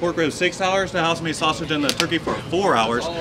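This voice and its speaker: Over loud background noise, a speaker with an American accent talks at a fairly quick pace with fairly even intonation. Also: man. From eastern North Carolina. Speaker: pitmaster. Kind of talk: explanatory tour. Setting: outdoors. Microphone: camera far.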